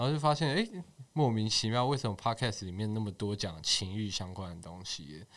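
An ordinary speaking voice moves at a fairly quick pace with lively intonation. The recording is very clean, with a silent background. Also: man, fairly low pitch for a man. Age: 20s. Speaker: social media page admin. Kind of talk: casual chat.

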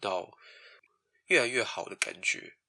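The speaker is a man. He talks at a moderate pace. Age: 20s. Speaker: office worker, podcast guest. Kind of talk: casual chat. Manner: animated, laughing.

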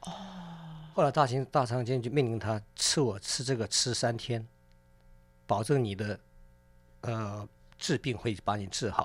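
Talking at a fairly slow pace with long, frequent pauses, the man has a medium pitch and ordinary pitch variation. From South Korea (ethnic Chinese community). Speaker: chef and restaurant owner. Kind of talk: casual radio interview.

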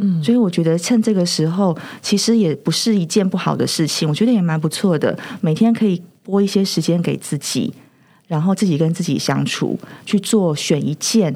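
A woman's dark, mellow tone at a moderate pace, with ordinary pitch variation, on a very clean recording against a silent background. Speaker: counseling psychologist. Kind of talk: casual interview chat.

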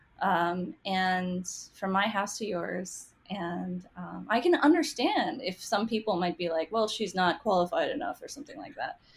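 With an American accent and an unremarkable speaking voice, a woman talks at a medium pitch and moderate pace, her intonation lively and her loudness swinging widely. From US, half Taiwanese. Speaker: cookbook author and food writer. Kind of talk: casual interview chat.

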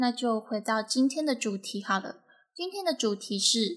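At a fairly slow pace, a woman speaks with a fairly high pitch and a bright, sharp tone. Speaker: podcast host. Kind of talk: solo podcast monologue. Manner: projecting breath forward, trying new technique.

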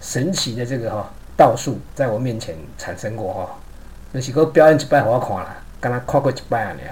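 The speech moves at a moderate pace with ordinary pitch variation, while noticeable background noise and audible room echo come through. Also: man. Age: 50s. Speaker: podcaster. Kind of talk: personal storytelling monologue.

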